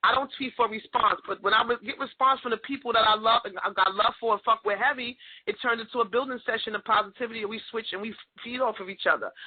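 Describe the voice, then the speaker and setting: A woman in a New York accent, fairly high in pitch, with ordinary pitch variation and an animated tone. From New York, Queens. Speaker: podcast host. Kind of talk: casual chat.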